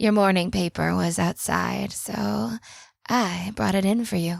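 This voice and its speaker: A female-sounding, put-on character voice is raspy and fairly low in pitch. It moves at a fairly slow pace. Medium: audio drama. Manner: tense, excited.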